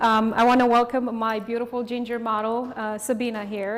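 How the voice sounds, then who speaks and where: Someone with a Romanian accent talks at a fairly quick pace over noticeable background noise. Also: woman. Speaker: hairstylist and educator. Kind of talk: live hairstyling demonstration. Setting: studio.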